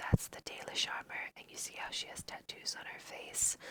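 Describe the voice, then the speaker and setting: Whispering at a moderate pace, a woman speaks with an American accent. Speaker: ASMR creator. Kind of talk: whispered ASMR let's play.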